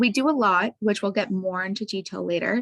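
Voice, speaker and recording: At a moderate pace, a woman talks in a normal speaking voice with a medium pitch and ordinary pitch variation. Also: dry, close sound with no echo. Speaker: science center educator. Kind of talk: presentation. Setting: video call.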